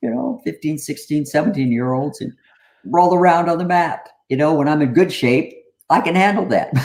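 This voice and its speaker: A man with an ordinary speaking voice talks at a fairly high pitch with lively intonation. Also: moderate pace. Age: 60s. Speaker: army veteran and depression advocate. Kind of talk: casual chat.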